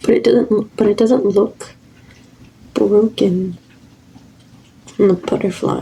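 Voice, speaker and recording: This soft-spoken woman has a medium pitch and fairly even intonation, her loudness staying very even. She leaves long, frequent pauses. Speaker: lifestyle vlogger. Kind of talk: casual haul video. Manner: rambling, filler-heavy.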